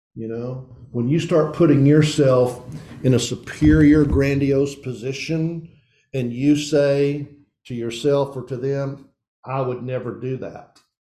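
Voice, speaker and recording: Audible room echo surrounds a man whose dark, mellow tone and fairly high pitch come at a fairly slow pace with fairly even intonation. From East Tennessee. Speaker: pastor / men's ministry teacher. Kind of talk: sermon.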